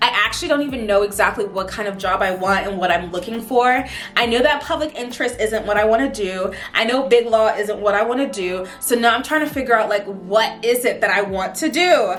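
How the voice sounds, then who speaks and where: The speaker talks at a fairly quick pace with ordinary pitch variation. Audible room echo and noticeable background noise are present. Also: woman, fairly high pitch for a woman. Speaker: vlogger and law student. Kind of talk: casual chat to camera. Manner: casual, chatty.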